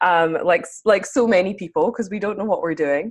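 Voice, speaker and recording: This woman speaks with a Scottish accent. Her pace is moderate and her intonation lively. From Scotland. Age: 30s. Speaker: spiritual mentor. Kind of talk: interview.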